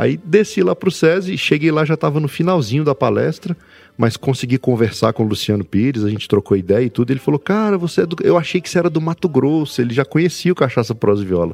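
At a very fast pace and with hardly any pauses, a man speaks in a fairly high pitch that swings very widely, the sound dry and close with no echo. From Brasília, Brazil. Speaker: podcaster. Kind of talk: casual chat.

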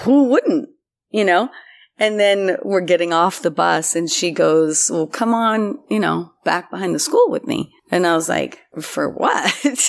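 A woman speaks in a plain, everyday voice at medium pitch, with lively intonation and a fairly slow pace. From US, partly raised in Turkey. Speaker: independent film writer-director. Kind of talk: interview.

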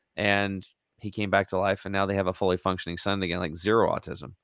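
A man with an American accent and a normal speaking voice talks at a fairly quick pace and fairly low pitch, with a dry, close sound with no echo on a very clean recording with a silent background. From eastern Oregon, US. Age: 50s. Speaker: health and detox advocate. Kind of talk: interview.

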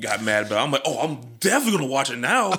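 A man with a medium-pitched voice talks while noticeable background noise fills the recording. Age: 30s. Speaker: wrestling podcast host, guest co-host. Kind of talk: casual chat.

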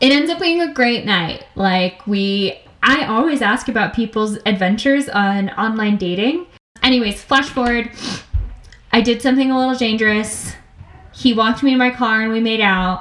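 A woman talks in a normal speaking voice. Her pace is moderate and her pitch variation ordinary. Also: fairly high pitch for a woman. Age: 20s. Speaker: podcast co-host. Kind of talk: casual chat.

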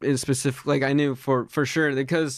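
At a fairly quick pace, an unremarkable speaking voice talks with an American accent. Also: man. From Pennsylvania, Reading. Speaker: sound designer and student. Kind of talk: casual interview.

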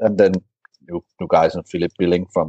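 A man's very deep, low voice with a Danish accent. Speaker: football blogger. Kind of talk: casual chat. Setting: remote call.

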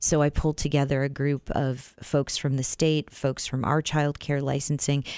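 At a moderate pace with hardly any pauses, a woman with a Midwestern American accent speaks in a very deep, low pitch with monotone, flat intonation and very even loudness on a very clean recording with a silent background. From US Midwest, Iowa. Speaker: city council member. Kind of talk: radio interview.

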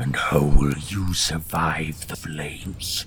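Putting on a growling character voice, a man speaks at a very slow pace in a very deep, low pitch, with clear background noise. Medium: actual play. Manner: short, clipped.

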